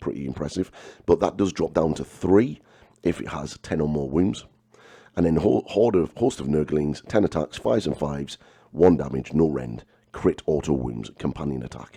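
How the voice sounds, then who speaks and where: A man speaks at a moderate pace in a very deep, low voice with vocal fry. His pitch varies in an ordinary way. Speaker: miniature painting and wargaming video host. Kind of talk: casual talk to camera.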